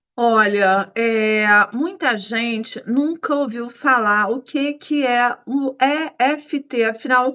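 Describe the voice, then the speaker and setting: In a Brazilian accent, the speaker goes at a very slow pace with hardly any pauses and ordinary pitch variation. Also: woman, high pitch for a woman. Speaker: podcast host. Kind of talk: interview.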